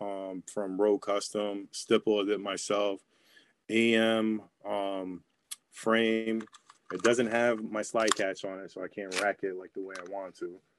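Recorded with a dry, close sound and no echo, a man with an American accent speaks at a fairly slow pace in a fairly low, monotone, flat voice. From New York. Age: 30s. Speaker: airsoft player. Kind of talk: casual chat.

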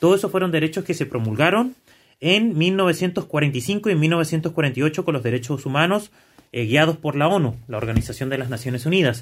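In a very clean recording with a silent background, a man with an unremarkable speaking voice talks at a moderate pace in a fairly high pitch, his intonation lively. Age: 30s. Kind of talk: casual discussion.

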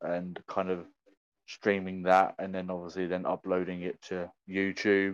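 A man's very deep, low, monotone voice with flat intonation over a quiet background. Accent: British. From UK. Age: 20s. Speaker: content creator and streamer. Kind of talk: casual chat.

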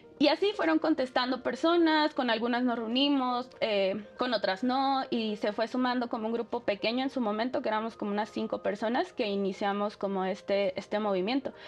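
A woman's fairly high voice with ordinary pitch variation, a fairly quick pace and hardly any pauses, over noticeable background noise. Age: 30s. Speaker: activist. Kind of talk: interview.

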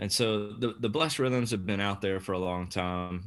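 Someone with an American accent speaks at a moderate pace. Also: man. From US Deep South. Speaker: church movement leader. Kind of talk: podcast interview.

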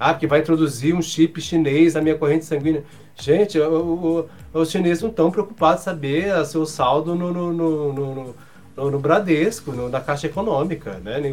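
The voice moves at a moderate pace with ordinary pitch variation, with noticeable background noise present. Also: man, fairly high pitch for a man. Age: 40s. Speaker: journalist and professor. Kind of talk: casual chat.

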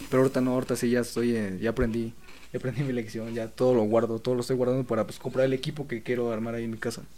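This man talks very fast in a dark, mellow tone at a medium pitch, his intonation flat and monotone. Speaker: photographer and video maker. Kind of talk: casual chat.

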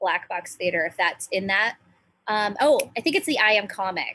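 Speaking at a moderate pace in an American accent, a woman with a medium pitch has a bright, sharp tone. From US Pacific Northwest, small island town near Seattle. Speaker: stand-up comedian. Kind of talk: casual chat.

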